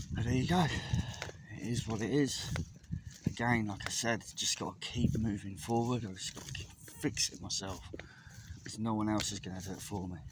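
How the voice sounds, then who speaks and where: A man at a fairly quick pace, with ordinary pitch variation, dry sound with no echo and loud background noise. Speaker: vlogger walking his dog. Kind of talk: casual personal vlog chat. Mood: low, reflective, confessional. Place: open country. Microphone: phone near.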